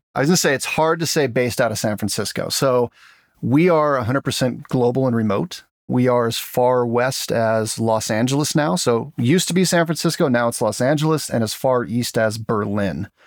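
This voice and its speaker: Here a man talks at a fairly quick pace and a medium pitch. His pitch varies in an ordinary way. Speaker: tech startup co-founder. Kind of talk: casual interview chat. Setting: video call.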